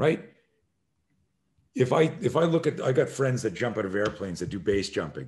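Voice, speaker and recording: Against a quiet background, the voice has vocal fry and very wide pitch swings, speaking at a fairly quick pace with long, frequent pauses. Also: man, medium pitch for a man. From Canada. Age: 60s. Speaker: self-defense instructor. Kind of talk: podcast interview. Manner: animated.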